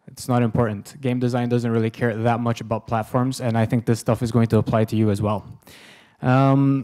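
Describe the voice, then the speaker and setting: In a very clean recording with a silent background, a man of medium pitch speaks with a non-native accent. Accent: non-German foreign. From Sweden. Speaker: game designer. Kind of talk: lecture.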